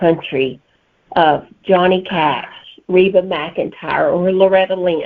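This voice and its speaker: The voice moves at a very slow pace with a strong Southern US accent. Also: woman. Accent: thick Southern US. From Alabama, US South. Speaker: novelist. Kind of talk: interview answers.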